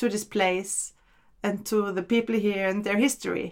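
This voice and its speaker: Speaking with a German accent, a woman talks at a moderate pace in a fairly high pitch. The recording is very clean, with a silent background. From Austria, Vienna. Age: 40s. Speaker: immigrant interviewee. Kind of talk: casual interview.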